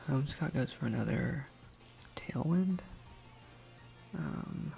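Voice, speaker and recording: The speaker is soft-spoken with a calm tone, talking at a very slow pace. Music plays in the background. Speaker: ASMR creator. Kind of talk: ASMR soft-spoken gameplay commentary. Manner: soft-spoken, calm.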